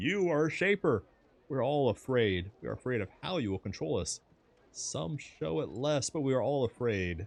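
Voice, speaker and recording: A man's put-on character voice, shaky and medium-pitched, with very wide pitch swings at a moderate pace. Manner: quavering, nervous.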